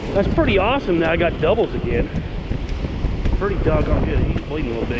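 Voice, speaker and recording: Loud background noise fills the recording. Over it, a man speaks at a very fast pace. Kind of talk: casual vlog chat. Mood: cheerful, joking. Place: beach. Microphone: phone near.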